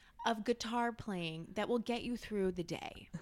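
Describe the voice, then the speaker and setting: A woman talks at a moderate pace. Her tone is animated. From France. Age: 20s. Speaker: social media manager. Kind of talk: casual chat.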